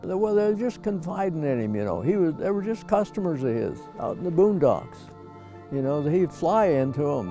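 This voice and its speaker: A man talks at an even, middling tempo. Behind him, music can be heard. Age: 80s+. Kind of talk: interview answer.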